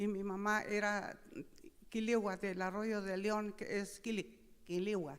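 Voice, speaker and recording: A woman speaks very slowly in a flat monotone. Audible echo fills the room. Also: medium pitch for a woman. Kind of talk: speech at opening ceremony. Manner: halting.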